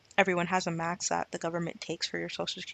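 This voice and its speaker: This woman's medium-pitched voice carries audible vocal fry. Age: 20s. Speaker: personal finance vlogger. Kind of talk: casual vlog talk. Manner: casual, filler-heavy.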